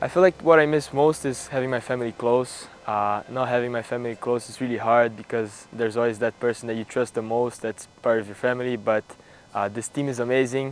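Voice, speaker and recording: In a Portuguese accent, a man speaks at a fairly quick pace and medium pitch with fairly even intonation. Noticeable background noise runs underneath. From Brazil. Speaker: college tennis player. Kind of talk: interview answers. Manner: hesitant, many fillers.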